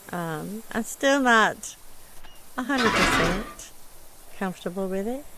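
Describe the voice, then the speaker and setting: Pausing long and often, a woman speaks fairly slowly in a fairly high voice with lively intonation, and noticeable background noise is present. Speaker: streamer. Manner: casual, chatty.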